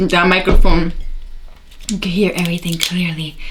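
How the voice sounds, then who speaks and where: A woman's voice comes with noticeable background noise and audible room echo. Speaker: beauty youtuber. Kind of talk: tutorial. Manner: loud; casual chatty.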